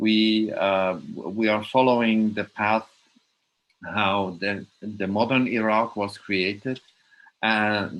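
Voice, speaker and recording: The man's voice is fairly low, his intonation flat and monotone. He speaks at a very slow pace. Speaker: film director. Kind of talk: panel discussion. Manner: halting.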